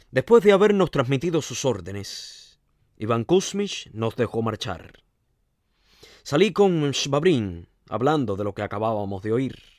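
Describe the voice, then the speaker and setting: Speaking at a fairly slow pace with a dramatic tone, a man with a medium-pitched voice makes very wide pitch swings and takes long, frequent pauses in a very clean recording with a silent background. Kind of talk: literary audiobook reading, with a conversational intro and recap. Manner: measured storyteller's pace, shifting to dramatic, emotive delivery in dialogue.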